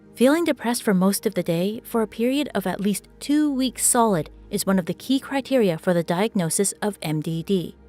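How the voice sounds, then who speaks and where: With music in the background and a dry, close sound with no echo, the speaker talks at a moderate pace with lively intonation. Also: woman. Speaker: voice actor. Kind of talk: educational explainer narration.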